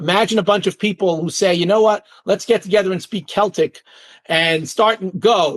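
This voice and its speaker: Here a man speaks in a high voice with an animated tone. The sound is dry and close, with no echo. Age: 60s. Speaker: author. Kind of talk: interview. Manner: fast.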